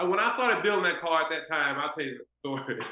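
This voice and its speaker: In an American accent, a man uses a raised, projected voice. His pitch varies in an ordinary way. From Texas. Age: 40s. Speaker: car builder. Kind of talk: casual interview chat.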